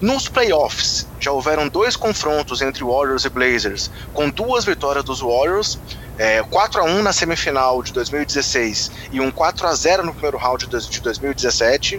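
The speech moves at a very slow pace with lively intonation. Noticeable background noise is present. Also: man, fairly high pitch for a man. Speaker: podcast host. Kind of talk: podcast sports discussion.

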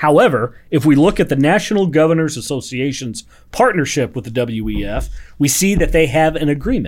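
A man with an unremarkable speaking voice talks at a fairly quick pace, his pitch fairly high and his intonation lively. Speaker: podcast co-host. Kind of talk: casual chat. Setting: studio. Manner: joking.

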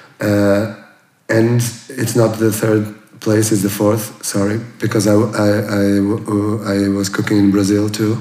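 The speaker uses a monotone, flat intonation and a very slow pace, in a Portuguese accent. Loudness stays very even, and there is audible room echo. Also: man, fairly low pitch for a man. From Portugal, near Porto. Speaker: chef. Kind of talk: interview. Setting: former bank safe room. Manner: halting, many fillers and repeats.

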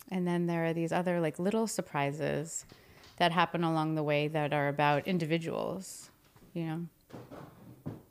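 The recording is very clean with a silent background, as a woman with an American accent speaks in an unremarkable speaking voice, fairly low in pitch, at a moderate pace. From New Jersey. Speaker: stage and screen actor, acting teacher. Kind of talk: casual interview chat.

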